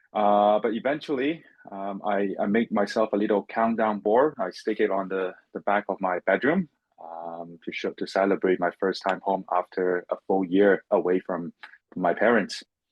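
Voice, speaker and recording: Speaking with a Chinese accent, a man uses a fairly low pitch and ordinary pitch variation. His pace is moderate. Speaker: finance professional, former international student. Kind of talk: interview. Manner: halting, with many repetitions and fillers.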